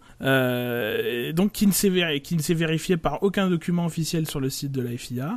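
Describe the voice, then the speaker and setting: Against noticeable background noise, a man with a fairly high pitch talks fairly slowly with ordinary pitch variation and hardly any pauses. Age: 40s. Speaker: F1 podcast panelist. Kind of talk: casual chat.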